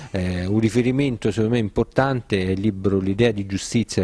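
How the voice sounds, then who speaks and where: A man with a fairly low pitch and a dark, mellow tone, ordinary pitch variation, and a dry sound with no echo. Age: young. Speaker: political activist and author; interviewee. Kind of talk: interview. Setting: café. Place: cafe. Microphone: handheld.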